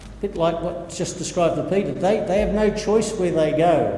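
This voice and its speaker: Audible room echo and noticeable background noise surround this man as he talks. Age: 60s. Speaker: pastor. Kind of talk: sermon. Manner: halting.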